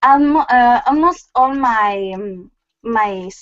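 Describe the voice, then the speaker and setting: A woman with a Spanish accent, very slow pace and lively intonation. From Galicia, Spain (Lugo). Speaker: craft blogger guest. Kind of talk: casual interview. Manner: halting, many fillers.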